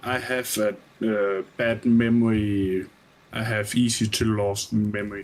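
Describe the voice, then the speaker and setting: With a Nordic accent, a man talks at a fairly slow pace in a fairly low, monotone voice with flat intonation. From Denmark. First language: Danish. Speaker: gamer on stream. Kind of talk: casual chat. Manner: halting.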